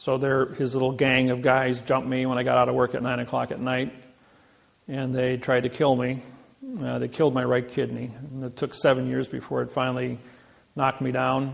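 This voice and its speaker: With a Midwestern American accent, a man at medium pitch talks in a monotone, flat intonation at a fairly quick pace. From Indiana. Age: 60s. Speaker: seminar speaker. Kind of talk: lecture.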